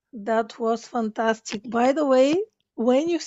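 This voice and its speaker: A woman speaks with a Bulgarian accent. Her pitch moves with ordinary variation. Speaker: podcast host, spiritual coach. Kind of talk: casual interview chat. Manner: halting.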